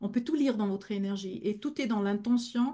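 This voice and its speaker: A woman speaks at a moderate pace in a dark, mellow tone. Her voice sits fairly high and is somewhat breathy. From German-speaking Switzerland. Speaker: medium. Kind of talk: Q&A in a masterclass.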